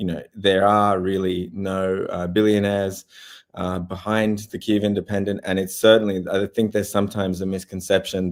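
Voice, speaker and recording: A man speaks at a moderate pace with an Australian accent, his pitch very deep and low. His intonation is flat and monotone, on a very clean recording with a silent background. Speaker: war journalist. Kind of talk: interview. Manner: hesitant, many fillers.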